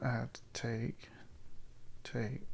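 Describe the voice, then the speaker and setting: A man mumbles at a fairly slow pace. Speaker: chess content creator. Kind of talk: live game commentary. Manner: thinking aloud, halting; mumbling.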